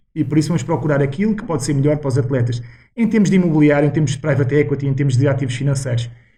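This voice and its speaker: This man's dark, mellow voice is somewhat breathy, moving at a very fast pace with ordinary pitch variation in a European Portuguese accent. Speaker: former footballer and financial consultant. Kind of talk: podcast interview.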